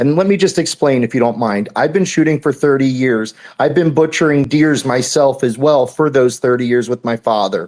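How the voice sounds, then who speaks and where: A man with an unremarkable speaking voice talks at a moderate pace, with hardly any pauses and very even loudness. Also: medium pitch for a man, ordinary pitch variation. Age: 40s. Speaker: hunter. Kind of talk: casual chat. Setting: video call.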